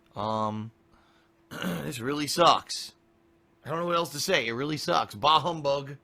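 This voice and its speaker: A man's fairly high voice with ordinary pitch variation, long, frequent pauses and noticeable background noise. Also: moderate pace. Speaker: streamer and game reviewer. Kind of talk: casual live stream chat.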